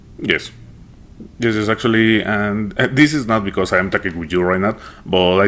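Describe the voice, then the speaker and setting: Very deep, low pitch from a man, moderate pace and ordinary pitch variation, over noticeable background noise. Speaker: podcast host, interviewer. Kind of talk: interview. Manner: hesitant, many fillers.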